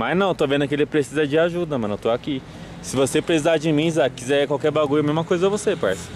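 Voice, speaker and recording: Over light background noise, a man speaks in a dry sound with no echo. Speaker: channel host. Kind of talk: heartfelt talk to two boys. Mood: earnest, advising. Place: street. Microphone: phone near.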